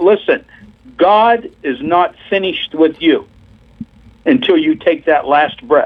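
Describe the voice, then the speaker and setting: A man with an American accent, high in pitch, at a very slow pace with long, frequent pauses and very wide pitch swings. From Pennsylvania. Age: 60s. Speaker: missionary preacher. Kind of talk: testimony.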